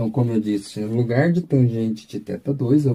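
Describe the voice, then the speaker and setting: A man speaks at a medium pitch in a dark, mellow tone. His voice is somewhat breathy. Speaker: physics teacher. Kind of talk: lecture. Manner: slow.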